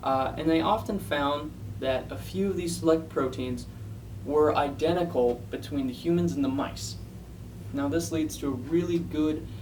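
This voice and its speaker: Vocal fry from a man at a medium pitch, very wide pitch swings, and a fairly slow pace. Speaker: science paper reviewer. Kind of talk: casual science explainer to camera. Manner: hesitant, with stutters.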